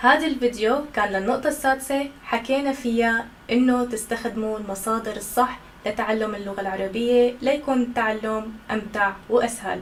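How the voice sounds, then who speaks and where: With hardly any pauses, a woman talks at a fairly high pitch and fairly even intonation over noticeable background noise. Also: moderate pace. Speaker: Arabic language instructor. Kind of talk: educational talk to camera. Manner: natural, conversational.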